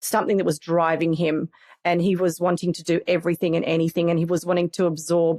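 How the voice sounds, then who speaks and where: In a very clean recording with a silent background, a woman speaks. Her tone is dark and mellow, with an Australian accent. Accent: Australian, sometimes mistaken for English. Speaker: family conflict coach and program manager. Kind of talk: podcast interview. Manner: hesitant, with repeated words.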